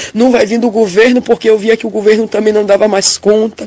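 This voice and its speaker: Over noticeable background noise, a woman with a fairly high pitch talks at a fairly quick pace in a monotone, flat delivery. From interior of Bahia, Brazil. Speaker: church member giving a testimony. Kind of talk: religious testimony of a vision. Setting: recorded audio message.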